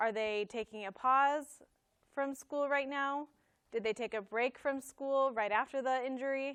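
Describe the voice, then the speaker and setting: A woman speaks with a high pitch. Her pace is fairly slow and her intonation fairly even. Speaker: speech-language pathologist presenter. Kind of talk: lecture.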